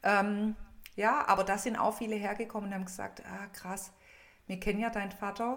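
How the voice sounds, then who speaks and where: A woman at a moderate pace with a medium pitch. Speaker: funeral speaker and coach. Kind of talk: casual chat.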